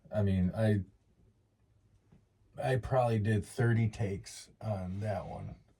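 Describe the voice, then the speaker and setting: Fairly low-pitched and somewhat breathy, a man's dark, mellow tone moves at a fairly slow pace with fairly even intonation and long, frequent pauses. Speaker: outdoors podcast co-host. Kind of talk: casual chat. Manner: stutters at times.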